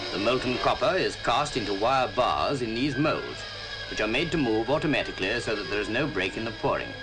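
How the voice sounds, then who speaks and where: A man with a medium pitch talks while music runs in the background. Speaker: narrator. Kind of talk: documentary narration. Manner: formal, explanatory.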